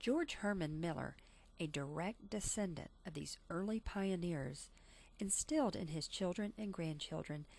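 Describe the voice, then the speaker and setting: A woman with an ordinary speaking voice talks at a fairly slow pace with lively intonation and medium pitch, in a very clean recording with a silent background. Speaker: teacher. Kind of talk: family history narration.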